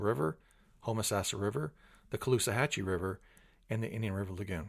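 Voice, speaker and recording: A man talks at a very fast pace, sounding somewhat breathy. The recording is very clean, with a silent background. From Florida. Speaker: podcast host. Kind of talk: interview.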